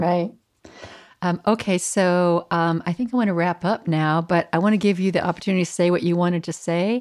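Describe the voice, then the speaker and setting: In a plain, everyday voice, the speaker moves at a fairly quick pace with very even loudness and fairly even intonation on a very clean recording with a silent background. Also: woman, fairly low pitch for a woman. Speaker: minister and podcast host. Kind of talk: interview conversation.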